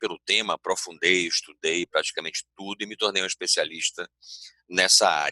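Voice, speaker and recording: The voice carries a Bahian accent. The sound is dry and close, with no echo. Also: man. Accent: Bahian Brazilian Portuguese. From Bahia, Brazil. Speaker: organizational culture consultant, speaker. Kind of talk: conference talk. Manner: hesitant fillers, self-corrections.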